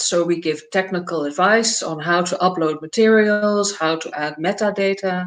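Against noticeable background noise, a woman with a Dutch accent speaks with ordinary pitch variation. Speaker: nonprofit executive director. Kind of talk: panel discussion. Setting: video call.

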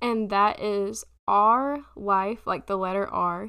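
A woman speaks at a very slow pace in a bright, sharp tone. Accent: Southern US. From South Carolina. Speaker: podcast host. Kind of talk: casual monologue.

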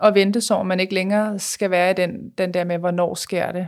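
In a very clean recording with a silent background, a woman speaks at a medium pitch and a fairly slow pace with a monotone, flat intonation. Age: 30s. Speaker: Instagram blogger. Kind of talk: personal testimony.

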